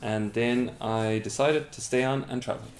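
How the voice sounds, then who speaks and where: A man with an Irish accent speaks at a medium pitch and a moderate pace amid noticeable background noise. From Ireland, West Clare. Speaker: TV production worker. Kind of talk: interview. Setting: bedroom interview.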